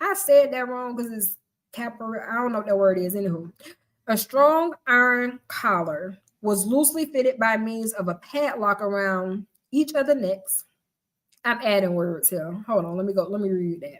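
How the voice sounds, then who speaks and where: A woman speaks with a Southern US accent and lively intonation. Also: fairly high pitch for a woman, moderate pace. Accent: Southern twang. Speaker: live-stream host and book reader. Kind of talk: reading aloud. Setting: live stream.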